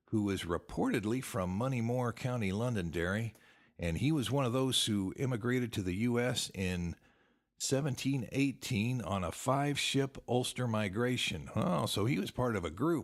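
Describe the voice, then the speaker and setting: This man has a normal speaking voice at a medium pitch, with lively intonation and very even loudness. He speaks at a moderate pace in a very clean recording with a silent background. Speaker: podcast host, genealogy author. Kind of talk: podcast talk, genealogy show. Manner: casual, friendly.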